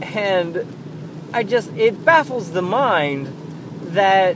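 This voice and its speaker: A man is speaking. Noticeable background noise sits behind his voice. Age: 20s. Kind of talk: casual monologue. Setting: in a car. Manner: halting.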